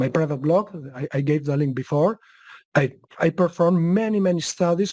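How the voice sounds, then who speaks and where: Here is a man with a Spanish accent. His pitch is fairly high, with ordinary pitch variation. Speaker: market analyst. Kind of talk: webcast Q&A. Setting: webcast. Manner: halting.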